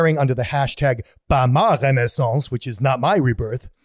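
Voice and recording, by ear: Reading aloud in a natural voice with fairly even intonation.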